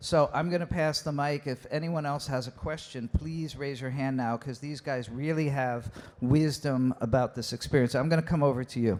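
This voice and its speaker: Using an ordinary speaking voice, a man at a fairly high pitch keeps a moderate pace with hardly any pauses and fairly even intonation. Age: 60s. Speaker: panel moderator. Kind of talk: panel discussion.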